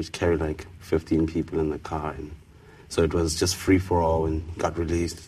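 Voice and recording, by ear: A man with a South African accent speaks at an extremely low pitch with little pitch movement. His tone is dark and mellow, and his pace is moderate.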